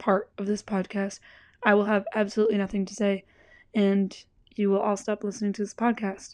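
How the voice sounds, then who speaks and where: A woman with a fairly high pitch speaks at a moderate pace in a dark, mellow tone against a quiet background. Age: 20s. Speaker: podcast host. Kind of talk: solo podcast monologue. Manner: casual with frequent laughs.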